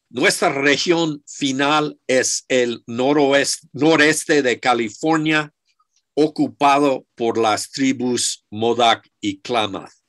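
Speaking very slowly with an English accent, a man shows ordinary pitch variation against a quiet background. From United States. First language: English (speaking Spanish). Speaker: archaeologist; lecturer. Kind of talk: lecture. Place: office. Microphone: video call.

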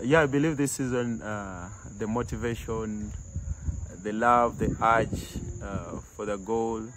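Over noticeable background noise, a man talks at a medium pitch with ordinary pitch variation and a dry sound with no echo. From Uganda. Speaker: professional footballer. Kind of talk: interview. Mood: relaxed, smiling. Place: street.

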